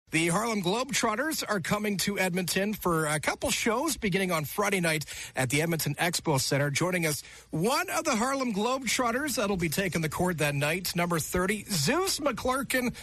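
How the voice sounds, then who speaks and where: In a Canadian accent, a man speaks at a moderate pace with a bright, sharp tone and a high pitch. His pitch swings very widely while his loudness stays very even. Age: 30s. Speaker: radio host. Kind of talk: radio interview.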